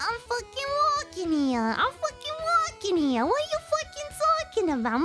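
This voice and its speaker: Over loud background music, a put-on character voice speaks at a moderate pace. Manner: aggressive, profane.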